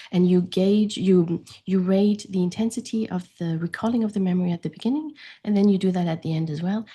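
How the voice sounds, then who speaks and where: Speaking with a German accent, a woman of medium pitch talks at a fairly quick pace in a dark, mellow, somewhat breathy tone with ordinary pitch variation. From France. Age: 40s. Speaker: grief coach. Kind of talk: interview conversation.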